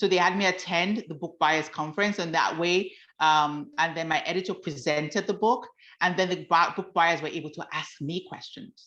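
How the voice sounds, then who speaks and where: A bright, sharp tone in a Nigerian accent, at a moderate pace with fairly even intonation against a quiet background. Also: woman, fairly low pitch for a woman. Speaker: author. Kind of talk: talk to a workshop audience.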